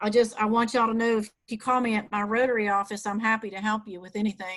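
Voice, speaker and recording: Her pitch fairly high and her intonation flat and monotone, a woman speaks at a moderate pace. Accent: Southern US. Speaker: Rotary club executive director. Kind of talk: webinar presentation. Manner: casual with many fillers.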